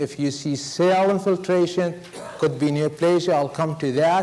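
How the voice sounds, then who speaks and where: A man with a non-native accent speaks at a fairly slow pace, high pitched with ordinary pitch variation. Audible room echo and noticeable background noise surround him. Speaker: veterinary pathology lecturer. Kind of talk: lecture.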